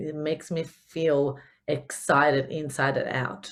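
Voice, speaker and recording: A woman with an Italian accent and a very deep, low pitch. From Italy. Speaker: business coach. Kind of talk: podcast talk. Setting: home recording. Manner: upbeat, casual.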